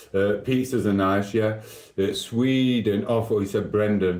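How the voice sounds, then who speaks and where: A man's fairly low voice with fairly even intonation, a moderate pace, and audible room echo. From South Yorkshire, England (Sheffield). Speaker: live streamer. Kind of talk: casual live stream chat.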